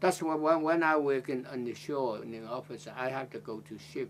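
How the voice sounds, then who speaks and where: With a Chinese accent, a man talks at a fairly slow pace. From China, Zhejiang province. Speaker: retired Blue Funnel merchant seaman, interviewee in oral history. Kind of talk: interview answer. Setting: oral history interview.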